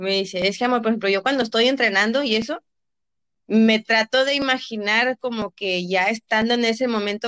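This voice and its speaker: In an ordinary speaking voice, a woman talks at a fairly quick pace with a fairly high pitch and ordinary pitch variation, the sound dry and close with no echo. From Reynosa, Tamaulipas, northern Mexico. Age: 20s. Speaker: athlete and physiotherapist. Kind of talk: interview.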